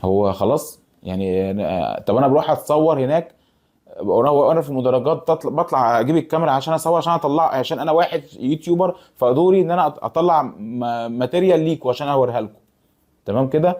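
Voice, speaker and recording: With an Egyptian accent, a man talks at a fairly quick pace in a fairly high pitch. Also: lively intonation. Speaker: YouTuber football fan commentator. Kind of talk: casual vlog monologue. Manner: halting, many false starts.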